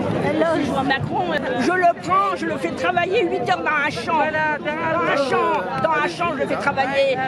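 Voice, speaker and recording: Loud background noise is present throughout. The sound itself is dry, with no echo. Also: woman. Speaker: protester giving testimony. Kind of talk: street interview answer. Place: street. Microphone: phone near.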